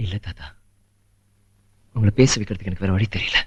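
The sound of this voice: A man puts on a character voice, low-pitched with a husky, rough edge and a fairly bright tone, talking at a fairly quick pace with ordinary pitch variation.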